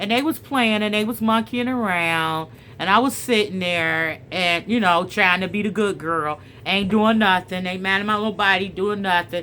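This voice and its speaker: Loud and animated, a woman talks at a moderate pace in a bright, sharp tone at medium pitch with ordinary pitch variation. The recording is very clean, with a silent background. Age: middle-aged. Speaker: storyteller and spiritual vlogger. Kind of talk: casual chat with story reading.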